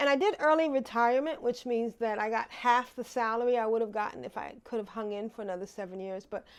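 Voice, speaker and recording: A woman with a plain, everyday voice and fairly high pitch speaks at a moderate pace with ordinary pitch variation, on a very clean recording with a silent background. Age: 60s. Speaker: vlogger. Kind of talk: casual vlog monologue. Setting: living room.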